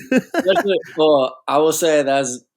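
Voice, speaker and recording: With a Southern California accent, the speaker talks in a relaxed tone at a fairly slow pace. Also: man. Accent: sounds like Orange County, California. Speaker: tour photographer and videographer. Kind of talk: casual chat. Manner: relaxed, laid-back.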